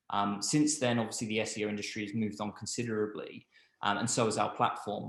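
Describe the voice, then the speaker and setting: With audible room echo around him, a man with a fairly low pitch talks at a fairly quick pace in a monotone, flat intonation. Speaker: webinar host. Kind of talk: product webinar presentation. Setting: online webinar. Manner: hesitant, many fillers.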